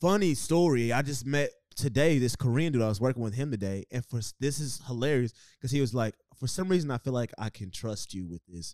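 Lively intonation from a medium-pitched man with an ordinary speaking voice, in a dry, close sound with no echo. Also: fairly quick pace. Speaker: podcast host. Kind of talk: casual banter podcast, crude humor. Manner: joking, irreverent, profane.

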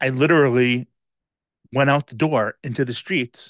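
Against a quiet background, a man with a fairly high pitch talks at a moderate pace in a dry, close sound with no echo. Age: 50s. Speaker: podcast host. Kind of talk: personal monologue. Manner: hesitant with frequent filler words.

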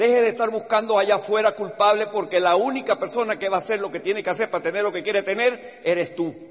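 Against noticeable background noise, a man with a high pitch talks very fast in an animated tone, hardly pausing at all. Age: 60s. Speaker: business motivational speaker. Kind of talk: motivational talk.

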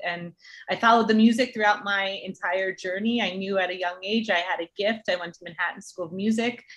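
The woman has a plain, everyday voice, an American accent and a medium pitch. Her pace is fairly quick and her intonation fairly even. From New Jersey. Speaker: entertainment partnerships executive and track athlete. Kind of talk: interview.

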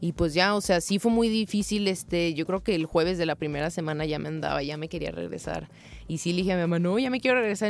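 A woman's fairly low, ordinary speaking voice, at a fairly quick pace with ordinary pitch variation. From Mexico, Tepic Nayarit. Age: 20s. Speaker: footballer. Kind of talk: interview.

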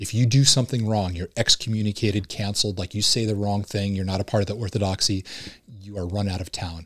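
A man with an American accent speaks at a fairly low pitch with fairly even intonation and a somewhat breathy voice. The recording is very clean with a silent background, and the sound is dry and close with no echo. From Southern California. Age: 40s. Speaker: former Marine and police officer. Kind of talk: casual chat.

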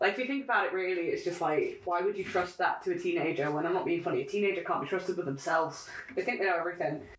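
A woman's very fast speech with hardly any pauses, very even loudness and noticeable background noise. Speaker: podcast co-host. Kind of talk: casual chat.

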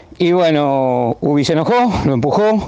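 With an Argentine accent, a man uses a fairly high pitch, a dark, mellow tone and lively intonation. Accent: Argentine Spanish (Rioplatense). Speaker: former amateur footballer. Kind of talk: anecdote.

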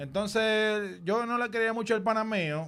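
Against a silent background in a very clean recording, a man talks at a high pitch. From Dominican Republic. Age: 30s. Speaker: music producer. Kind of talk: casual chat.

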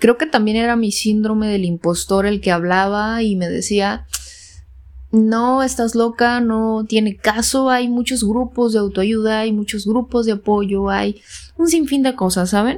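An ordinary speaking voice with ordinary pitch variation at a fairly slow pace. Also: woman, fairly high pitch for a woman. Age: 20s. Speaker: podcast host. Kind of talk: solo podcast monologue.

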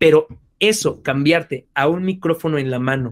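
The speaker is a man. He keeps a moderate speed, and his pitch shifts in an ordinary way. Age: 30s. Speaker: voice actor and singer. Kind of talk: interview.

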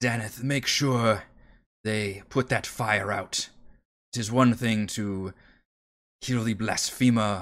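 Doing a put-on character voice, a man speaks at a fairly slow pace in a fairly low, raspy voice with monotone, flat intonation. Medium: actual play.

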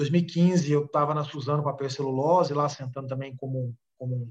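A somewhat breathy voice at a fairly quick pace, with fairly even intonation. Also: man. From Brazil, Minas Gerais (Uberaba). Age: 30s. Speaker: business executive and author. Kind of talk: casual interview.

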